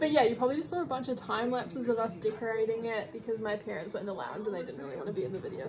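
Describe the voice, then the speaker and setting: A woman's voice over noticeable background noise. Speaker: vlogger. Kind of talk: casual vlog chat. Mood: cheerful, laughing. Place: home room. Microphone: phone near.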